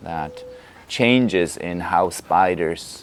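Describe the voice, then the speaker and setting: A man speaks with a Polish accent. His voice is very deep and low. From Poland. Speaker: Feldenkrais teacher. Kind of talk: lecture.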